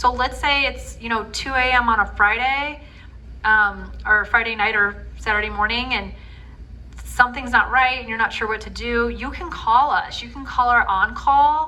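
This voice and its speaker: A woman talks at a moderate pace, her loudness swinging widely. Noticeable background noise runs behind her. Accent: American. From northwest Indiana. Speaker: healthcare program representative. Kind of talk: community presentation with Q&A. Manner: casual, conversational with filler words.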